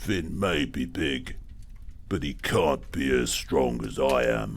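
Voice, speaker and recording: A man does a put-on character voice that is booming, growling and raspy, with a very deep, low pitch. He speaks at a fairly slow pace over clear background noise. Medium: read story. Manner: loud, blustering.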